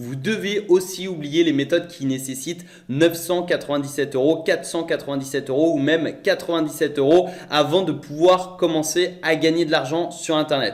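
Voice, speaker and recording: This is a normal speaking voice at a moderate pace, with fairly even intonation. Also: man, fairly high pitch for a man. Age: 20s. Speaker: online entrepreneur / YouTuber. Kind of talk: sales pitch.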